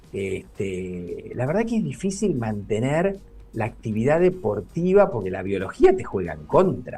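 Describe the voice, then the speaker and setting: A man's medium-pitched, somewhat breathy voice with a dark, mellow tone, a fairly slow pace, very wide pitch swings and big swings in loudness. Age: 60s. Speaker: neurologist. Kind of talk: interview.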